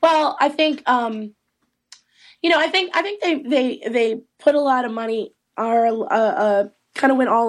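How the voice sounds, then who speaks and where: A woman has an unremarkable speaking voice and lively intonation at a moderate pace. The background is quiet. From Eastern North Carolina. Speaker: trade association executive director. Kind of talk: interview. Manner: many fillers and restarts.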